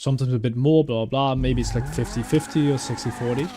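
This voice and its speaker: A man at a medium pitch and a very fast pace, fairly even in intonation, over noticeable background noise. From Netherlands. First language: Dutch and German. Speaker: gaming YouTuber. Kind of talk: casual gameplay commentary. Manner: chatty, rambling.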